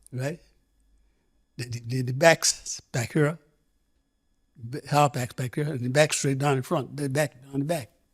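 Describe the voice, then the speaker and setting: The speech is somewhat breathy and broken by long, frequent pauses. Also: man, fairly high pitch for a man, fairly even intonation, fairly slow pace. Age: 90s. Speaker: former footballer. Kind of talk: interview answer.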